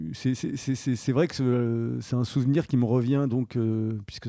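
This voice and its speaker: Medium pitch marks this man's voice. He keeps his intonation fairly even. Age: 40s. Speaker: plastic surgery patient. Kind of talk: testimony. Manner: halting.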